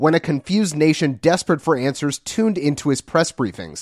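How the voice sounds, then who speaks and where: A man with an unremarkable speaking voice, fairly high in pitch, with ordinary pitch variation and a fairly quick pace, in a dry, close sound with no echo against a quiet background. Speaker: podcast host. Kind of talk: news reading. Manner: playful.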